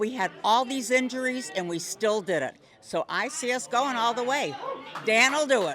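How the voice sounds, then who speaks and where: Noticeable background noise behind lively intonation and a moderate pace. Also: woman, high pitch for a woman. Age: 80s+. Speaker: senior Lions fan. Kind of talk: street interview. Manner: enthusiastic.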